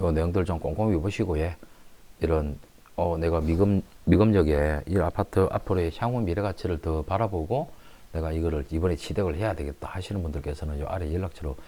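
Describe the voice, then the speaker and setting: With a very deep, low pitch and a dark, mellow tone, a man speaks at a fairly quick pace. His voice is somewhat breathy and shows ordinary pitch variation. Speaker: real estate auction agent. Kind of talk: property explainer and pitch.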